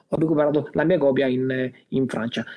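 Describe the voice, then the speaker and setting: Speaking at a moderate pace, a man's voice has a dark, mellow tone. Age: 40s. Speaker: board game collector. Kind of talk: casual chat. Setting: remote call.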